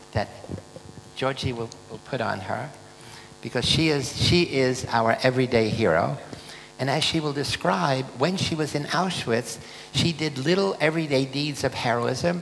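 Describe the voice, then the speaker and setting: Over noticeable background noise, a man with a medium pitch and ordinary pitch variation speaks with long, frequent pauses. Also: moderate pace. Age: 80s+. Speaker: conference host introducing speaker. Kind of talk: speech introduction.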